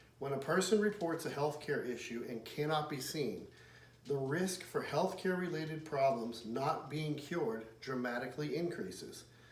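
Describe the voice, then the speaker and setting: A man with an American accent talks at a fairly high pitch, his intonation lively. Noticeable background noise and audible room echo are in the recording. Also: moderate pace. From Pittsburgh, western Pennsylvania, US. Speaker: military veteran, field service manager. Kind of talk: persuasive speech, read from script. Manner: formal.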